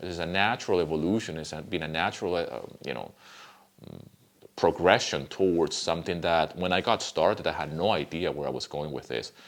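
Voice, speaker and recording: A man with a Spanish accent speaks in a very deep, low pitch with vocal fry and ordinary pitch variation. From Venezuela. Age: 50s. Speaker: music composer and YouTuber. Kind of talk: casual vlog talk. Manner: conversational with fillers.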